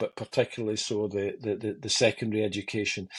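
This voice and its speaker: A man with a Scottish accent, fairly low in pitch, at a fairly quick pace. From Motherwell, Scotland. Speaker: TV director, radio DJ, bass player. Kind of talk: podcast interview answer.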